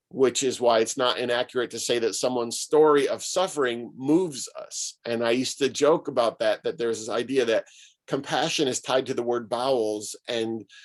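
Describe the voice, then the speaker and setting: Hardly pausing, a man with an American accent and a plain, everyday voice talks at a moderate pace and medium pitch with ordinary pitch variation. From Syracuse, New York, US. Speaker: pastor and author. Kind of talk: talk to an online gathering.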